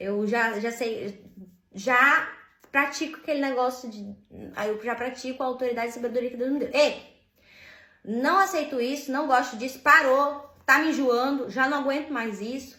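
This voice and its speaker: A woman's raised, projected voice, high-pitched with a bright, sharp tone, moves at a moderate pace through audible room echo. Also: ordinary pitch variation. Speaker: vlogger. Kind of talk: casual monologue vent.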